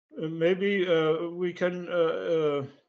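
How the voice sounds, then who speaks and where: Speaking very slowly with a German accent, a man uses a high pitch. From Germany. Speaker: independent researcher. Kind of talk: lecture Q and A. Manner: halting.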